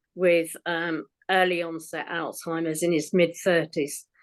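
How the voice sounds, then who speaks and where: A woman in an English accent at a fairly slow pace, against a quiet background. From England. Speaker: poet with mild cognitive impairment. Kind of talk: casual introduction. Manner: hesitant.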